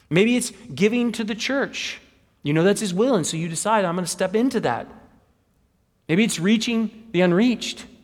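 Using an American accent, a man with a high pitch speaks at a moderate pace with ordinary pitch variation and long, frequent pauses. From Wichita, Kansas. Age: 40s. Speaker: pastor. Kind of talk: sermon. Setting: church.

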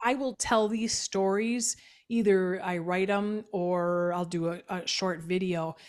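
On a very clean recording with a silent background, a woman speaks very slowly at a medium pitch with fairly even intonation. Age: 50s. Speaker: business advisor. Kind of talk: interview.

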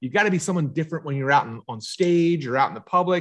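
Against a quiet background, a man with a Philadelphia accent talks at a fairly quick pace. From Philadelphia area, US. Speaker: marketing consultant and book coach. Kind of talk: casual interview.

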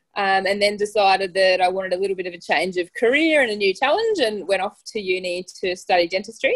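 A woman with an Australian accent talks at a fairly quick pace and medium pitch. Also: hardly any pauses. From Australia, Tasmania. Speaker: dentist and runner. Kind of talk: casual interview.

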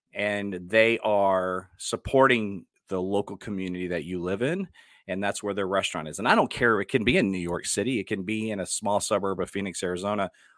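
In a Texan accent, a man with a fairly low pitch speaks at a fairly quick pace. His intonation is fairly even, and the recording is very clean with a silent background. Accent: Texan American. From Dallas, Texas. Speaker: podcast host and actor. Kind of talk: casual solo podcast talk.

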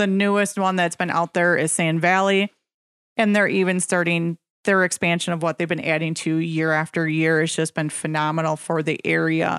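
In a very clean recording with a silent background and a dry, close sound with no echo, a woman with an Upper Midwest accent speaks at a moderate pace in a fairly low pitch, with monotone, flat intonation and very even loudness. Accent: Upper Midwest American. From central Wisconsin. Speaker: real estate agent, radio co-host. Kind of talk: radio talk show. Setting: radio studio.

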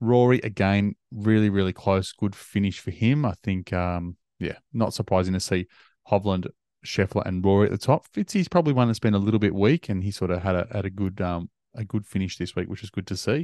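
A man with an Australian accent and fairly low pitch, fairly quick pace, dry, close sound with no echo and a quiet background. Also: ordinary pitch variation. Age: 40s. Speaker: golf podcast host. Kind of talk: casual chat.

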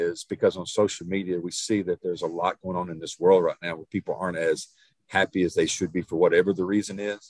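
A man with an East Texas accent speaks at a fairly quick pace in a very deep, low voice with fairly even intonation, in a dry, close sound with no echo. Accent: East Texas Southern US. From Northeast Texas, small town. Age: 50s. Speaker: nutrition and fitness coach. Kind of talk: casual chat.

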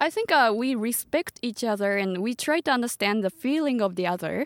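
In a Japanese accent, a woman talks at a fairly quick pace with high pitch and lively intonation, the sound dry and close with no echo and the recording very clean against a silent background. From Japan, Tochigi Prefecture. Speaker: startup community co-founder. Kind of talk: podcast interview. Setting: parked van.

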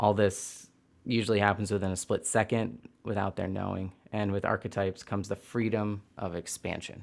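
A man with an ordinary speaking voice and an American accent talks at a moderate pace. His pitch is fairly low, and his intonation is fairly even. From US Midwest (Hastings, Michigan). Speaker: Reiki practitioner and former performer. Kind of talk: casual interview conversation.

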